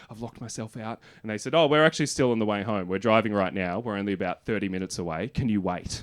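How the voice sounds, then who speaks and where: A man talks at a very fast pace with an Australian accent and fairly low pitch. His intonation is fairly even against a quiet background. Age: 30s. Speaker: stand-up comedian. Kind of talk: stand-up. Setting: stage with audience.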